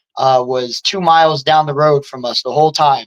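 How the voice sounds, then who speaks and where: A man speaks in a normal speaking voice with an American accent, his pitch fairly high, his intonation fairly even and his pace fairly quick, in a dry, close sound with no echo. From New Jersey, Jersey Shore (Wildwood), then Arizona. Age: 20s. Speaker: MMA fighter. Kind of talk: casual interview chat.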